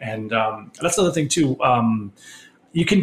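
An unremarkable speaking voice with an American accent and ordinary pitch variation. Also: man. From Connecticut, US. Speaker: lighting designer. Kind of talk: interview.

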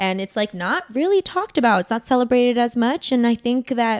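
A woman's high-pitched voice with an American accent, lively intonation and a dry, close sound with no echo. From US, Northern Virginia. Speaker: podcast co-host. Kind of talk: casual chat.

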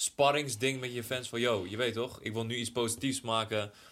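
A man speaks in a plain, everyday voice at medium pitch. His pace is moderate and his intonation fairly even. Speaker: podcast co-host. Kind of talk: casual chat.

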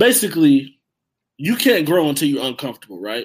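A man with an American accent speaks in a plain, everyday voice, fairly high-pitched, with lively intonation. The recording is very clean, with a silent background. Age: 20s. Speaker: hip-hop artist. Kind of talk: casual interview chat.

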